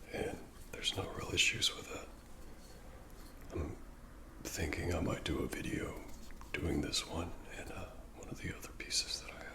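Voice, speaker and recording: In an American accent, a man whispers at a moderate pace in a relaxed tone, leaving long, frequent pauses, with noticeable background noise behind him. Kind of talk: ASMR personal attention talk showing items to the viewer. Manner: soft-spoken, whispery, relaxed.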